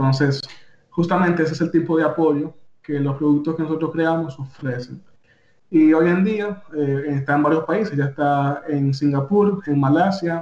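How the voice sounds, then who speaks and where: The pitch shows ordinary variation and the pace is moderate. This is an ordinary speaking voice. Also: man. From Dominican Republic. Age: young. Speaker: technology official and AI entrepreneur. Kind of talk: radio interview.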